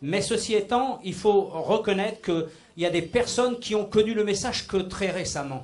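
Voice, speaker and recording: Audible room echo surrounds a man whose speech shows ordinary pitch variation. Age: 60s. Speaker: church member giving testimony. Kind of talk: testimony. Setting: church meeting with microphone.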